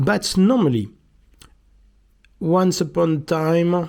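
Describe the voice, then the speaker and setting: The speaker has a strong French accent. Delivery is very slow. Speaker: miniatures maker and YouTuber. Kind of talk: casual video monologue. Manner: halting, many hesitations.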